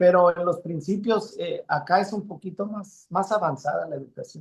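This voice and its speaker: A man's intonation stays fairly even as he talks at a fairly slow pace. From Mexico, Sinaloa and Mexicali valley. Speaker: musician. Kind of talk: interview. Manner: halting.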